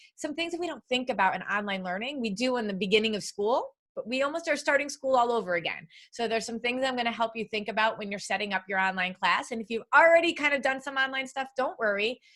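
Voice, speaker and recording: A woman speaks very fast with a bright, sharp tone, a fairly high pitch and lively intonation. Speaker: education consultant and teacher trainer. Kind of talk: live webinar training. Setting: video call. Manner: animated.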